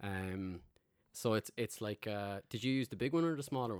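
Speech at a moderate pace with ordinary pitch variation comes through a very clean recording with a silent background, the sound dry and close with no echo. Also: man. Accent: Limerick. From Ireland (Limerick). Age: 30s. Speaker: podcast host. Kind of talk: casual chat.

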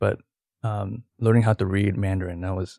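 A man with an American accent and a plain, everyday voice talks fairly quickly at a fairly low pitch, the sound dry and close with no echo. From Houston, Texas. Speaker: former police officer and ex-seminarian. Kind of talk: interview.

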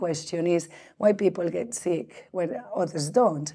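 A woman's dark, mellow tone in a Spanish accent. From Spain. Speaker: biobank director. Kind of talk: interview. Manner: halting, many fillers and restarts.

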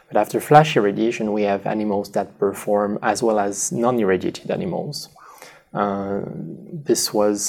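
A man with a French accent speaks at a fairly low pitch and a fairly slow pace. His pitch varies in an ordinary way, and background noise is noticeable. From southwest France. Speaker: radiation biology researcher. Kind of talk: interview. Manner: halting.

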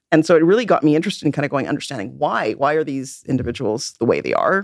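With a western Canadian accent, a woman with a very deep, low pitch speaks with lively intonation in a very clean recording with a silent background and a dry, close sound with no echo. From Vancouver, western Canada. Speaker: forensic psychologist and professor. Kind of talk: interview. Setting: studio. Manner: halting, frequent repetitions.

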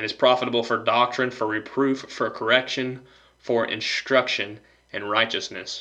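A man speaks in a bright, sharp tone at a fairly slow pace. His intonation stays monotone and flat. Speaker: podcaster and Bible student. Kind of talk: Bible teaching monologue.

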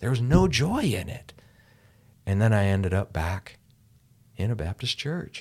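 A man with an American accent talks at a fairly slow pace in a fairly low, somewhat breathy voice, using very wide pitch swings and long, frequent pauses. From US, rural farming village. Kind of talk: casual chat. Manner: animated.

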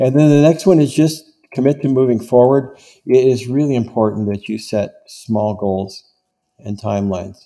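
This man's voice sits at a medium pitch, with a dark, mellow tone and ordinary pitch variation. He talks at a moderate pace, and his loudness swings widely. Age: 70s. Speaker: business consultant. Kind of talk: interview about problem solving.

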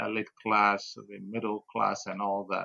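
Bright and sharp in tone, a man speaks with a Ghanaian accent. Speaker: politician. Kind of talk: interview. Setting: studio.

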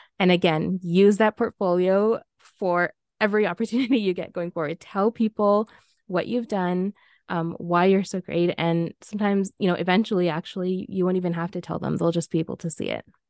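A woman with a Canadian accent has an unremarkable speaking voice, medium in pitch, with fairly even intonation at a fairly quick pace. The sound is dry and close with no echo, over a quiet background. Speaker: PR consultant. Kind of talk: panel discussion.

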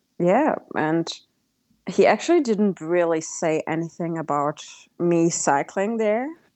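A woman's fairly low voice with ordinary pitch variation at a fairly slow pace. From Germany. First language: German. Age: 30s. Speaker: travelling cyclist. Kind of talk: casual interview.

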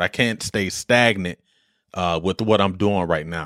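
The recording is very clean, with a silent background. In it, a man talks at a moderate speed. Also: dry, close sound with no echo. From Detroit, US Midwest. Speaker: podcaster and retired soldier.

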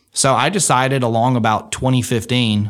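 A man with an Alabama accent speaks with fairly even intonation on a very clean recording with a silent background. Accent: Southern US (Alabama). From Alabama, Muscle Shoals. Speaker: state auditor, politician. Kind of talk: interview, personal story.

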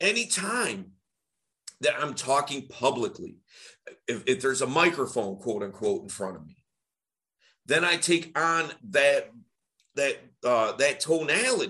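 Speaking at a fairly slow pace with long, frequent pauses, a man uses a bright, sharp tone, fairly high in pitch, with vocal fry, very wide pitch swings and big swings in loudness. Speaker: voice coach or podcast host. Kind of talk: casual chat. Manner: energetic, projected public voice; loud, sounds like yelling.

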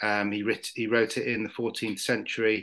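A man's bright, sharp voice in a British accent, moderate in pace, with monotone, flat intonation. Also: quiet background. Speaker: novelist. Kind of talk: casual chat. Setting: video call.

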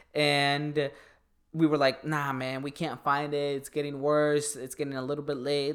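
Over a silent background on a very clean recording, a man with a fairly high pitch speaks at a moderate pace in a monotone, flat intonation. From Mexico. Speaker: motivational influencer. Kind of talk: casual chat.

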